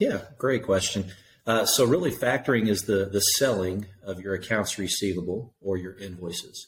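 A man with a fairly low pitch and an ordinary amount of pitch variation, somewhat breathy, with a Tennessee accent, at a moderate pace. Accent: Southern US (Tennessee). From East Tennessee. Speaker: factoring company owner. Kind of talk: interview.

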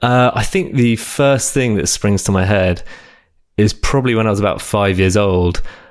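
A man with an English accent speaks at a fairly low pitch with ordinary pitch variation. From southern England. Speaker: app developer. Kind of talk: casual interview. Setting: remote recording.

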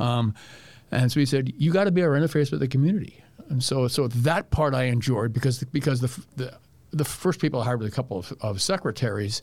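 The voice is somewhat breathy, with lively intonation and a very fast pace. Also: man, medium pitch for a man. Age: 70s. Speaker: doctor and public health professor. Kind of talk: casual interview conversation.

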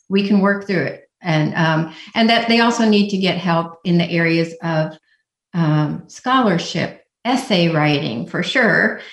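A woman with an American accent speaks at a fairly low pitch, somewhat breathy, with ordinary pitch variation. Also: fairly slow pace. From Indiana. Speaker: college application essay coach. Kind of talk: radio interview.

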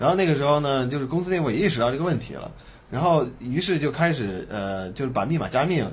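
Speech races at a very fast pace with lively intonation. Noticeable background noise and audible room echo fill the recording. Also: man, fairly high pitch for a man. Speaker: tech entrepreneur and former CTO. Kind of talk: interview. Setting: in-person studio recording with three people.

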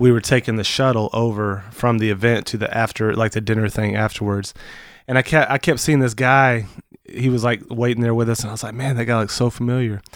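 Recorded very cleanly against a silent background, a man speaks in an unremarkable speaking voice at a medium pitch with fairly even intonation. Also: fairly quick pace. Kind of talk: casual chat. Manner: joking, talkative.

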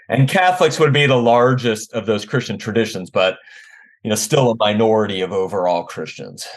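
A man with a General American accent speaks at a fairly quick pace in a normal speaking voice. His pitch is medium and his intonation lively. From US, Washington D.C. area. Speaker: theology professor. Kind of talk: interview conversation.

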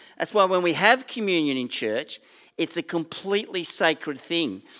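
Over a silent background in a very clean recording, a man with a high pitch talks at a moderate pace with lively intonation. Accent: Australian. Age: 60s. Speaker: pastor. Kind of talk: sermon. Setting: church.

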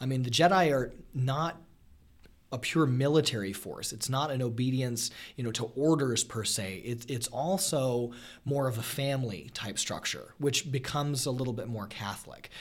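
A man with a plain, everyday voice speaks at a moderate pace and medium pitch, with ordinary pitch variation. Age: 30s. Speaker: high school teacher. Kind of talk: casual chat.

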